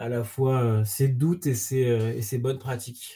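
A man's medium-pitched, somewhat breathy voice with a dark, mellow tone and fairly even intonation. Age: 40s. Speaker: startup co-founder. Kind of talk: interview.

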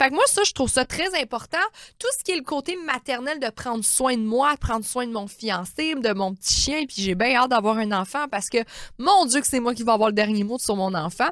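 A woman talks at a fairly quick pace. Her high voice rises and falls with lively intonation. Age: 30s. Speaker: naturopath and life coach podcaster. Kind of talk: motivational monologue. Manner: animated.

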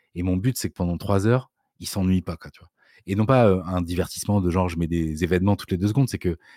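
A man speaks at a very fast pace in a very deep, low voice with fairly even intonation. The recording is very clean with a silent background, and the sound is dry and close with no echo. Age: 40s. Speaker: writer and video creator. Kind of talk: casual interview. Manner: hesitant, many fillers.

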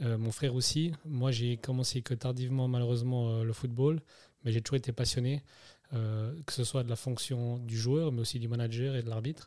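A man speaks in a medium pitch with a dark, mellow tone and monotone, flat intonation at a moderate pace. The recording is very clean, with a silent background. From Switzerland, Neuchâtel. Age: 30s. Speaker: football referee. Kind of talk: interview.

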